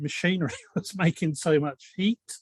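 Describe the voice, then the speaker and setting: Speaking with a British accent, a man talks at a moderate pace. His pitch is fairly high. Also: dry, close sound with no echo. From UK. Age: 70s. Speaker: community member. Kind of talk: casual group discussion.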